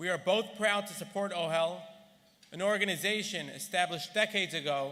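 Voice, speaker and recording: A raised, projected voice with a bright, sharp tone and fairly even intonation comes at a moderate pace through audible room echo. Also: man. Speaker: gala honoree. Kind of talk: speech. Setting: stage with audience. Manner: formal.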